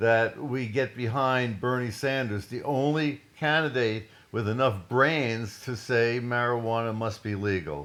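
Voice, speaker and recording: A man speaks at a fairly slow pace with hardly any pauses. His voice sits at a medium pitch with ordinary pitch variation. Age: 60s. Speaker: scientist and cannabis activist. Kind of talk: political monologue. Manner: animated.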